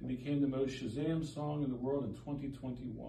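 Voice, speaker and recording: A man with a fairly high voice talks at a moderate pace, with audible room echo and light background noise. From Nigeria. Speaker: local politician. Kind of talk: reading aloud a proclamation. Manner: formal. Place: office. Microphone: phone near.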